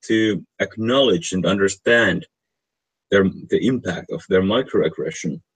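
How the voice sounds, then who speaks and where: Long, frequent pauses break up this man's fairly low-pitched speech. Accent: non-native. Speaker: online stream host. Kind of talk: casual discussion of a research paper. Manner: halting, frequent word repetition.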